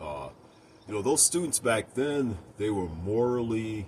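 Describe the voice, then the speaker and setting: Here a man with an American accent talks at a fairly slow pace and a fairly low pitch. His intonation is lively. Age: 60s. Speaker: video blogger. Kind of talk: personal opinion monologue. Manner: hesitant, many fillers.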